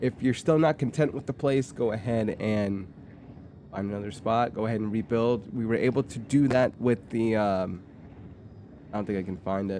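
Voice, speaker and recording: A man's medium-pitched, dark, mellow voice at a moderate pace. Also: ordinary pitch variation. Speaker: gaming YouTuber. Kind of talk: game walkthrough commentary. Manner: casual, with self-corrections.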